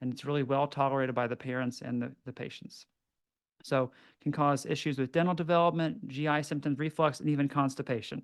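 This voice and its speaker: At a fairly quick pace, a man speaks in a fairly high pitch with fairly even intonation over a quiet background. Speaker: pediatric dentist, lecturer. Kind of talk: lecture. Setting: webinar. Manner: fast.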